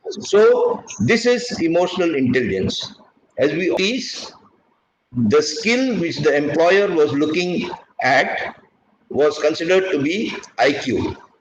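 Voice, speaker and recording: Room echo is audible as a man speaks at a very slow pace. His high-pitched voice swings very widely in pitch. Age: 70s. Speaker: retired naval officer and teacher. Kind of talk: lecture.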